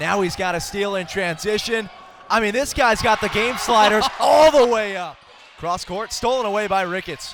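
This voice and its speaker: Noticeable background noise behind a man with a high pitch, a moderate pace and ordinary pitch variation. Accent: American. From Eastern Shore of Maryland, US. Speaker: basketball play-by-play announcer. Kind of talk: live basketball play-by-play call.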